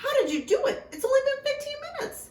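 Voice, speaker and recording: A woman uses a put-on character voice at an extremely high pitch. It is squeaky and delivered at a very fast pace. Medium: read story. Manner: barking.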